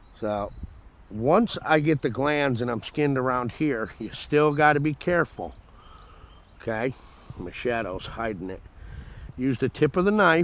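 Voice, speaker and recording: At a fairly slow pace, a man with an American accent speaks at a medium pitch with lively intonation. He leaves long, frequent pauses. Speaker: trapper and trapping supply dealer. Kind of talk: outdoor how-to tutorial. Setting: outdoors. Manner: slow, deliberate.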